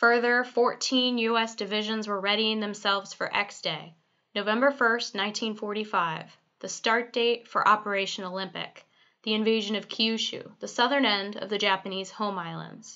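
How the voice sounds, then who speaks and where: A woman with a plain, everyday voice and fairly high pitch speaks at a moderate pace with fairly even intonation. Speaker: museum narrator. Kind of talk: documentary history narration. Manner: formal, measured, even-paced, authoritative.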